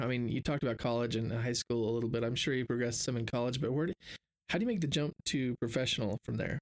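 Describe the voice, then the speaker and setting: A man speaks at a very fast pace with a medium pitch and ordinary pitch variation. The sound is dry and close with no echo, and his loudness is very even. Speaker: podcast host. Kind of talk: interview conversation.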